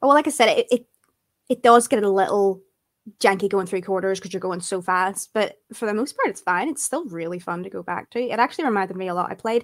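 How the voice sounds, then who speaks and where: On a very clean recording with a silent background, a woman talks with lively intonation in a plain, everyday voice. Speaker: gaming writer. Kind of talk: casual chat.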